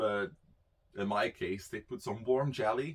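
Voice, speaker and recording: A man speaks with a Dutch accent and lively intonation. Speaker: YouTuber. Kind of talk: personal storytelling. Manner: casual, halting with fillers.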